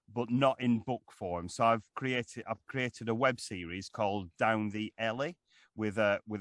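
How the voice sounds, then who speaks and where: A man with a Lancashire accent at a fairly low pitch, ordinary pitch variation and moderate pace, dry and close with no echo, over a quiet background. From northern England, Lancashire. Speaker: actor and voiceover artist. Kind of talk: interview. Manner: halting, many fillers and repeats.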